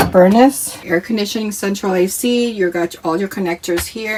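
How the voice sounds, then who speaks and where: A woman's voice shows ordinary pitch variation, with noticeable background noise present. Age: 50s. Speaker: RV vlogger. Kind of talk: casual talk to camera.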